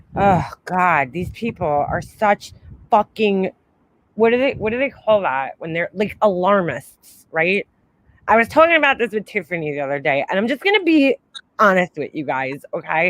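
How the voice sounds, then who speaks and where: A woman with a New York accent speaks loudly at a moderate pace and a medium pitch, in an animated tone with very wide pitch swings, in a dry, close sound with no echo. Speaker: livestream host. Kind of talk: casual chat. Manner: loud, boisterous.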